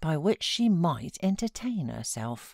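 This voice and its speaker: Speaking very slowly in a British accent, a woman's voice makes very wide pitch swings. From England. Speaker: voiceover artist. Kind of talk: audiobook reading.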